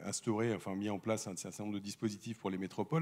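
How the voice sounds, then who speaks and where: The man's pitch is fairly low. He talks at a very fast pace. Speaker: debate moderator. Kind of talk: panel debate introduction. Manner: halting.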